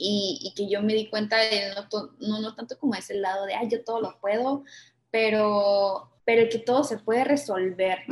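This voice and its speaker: A woman talks at a fairly high pitch with fairly even intonation. It is a plain, everyday voice. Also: moderate pace. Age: 20s. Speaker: architect and entrepreneur. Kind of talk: casual interview.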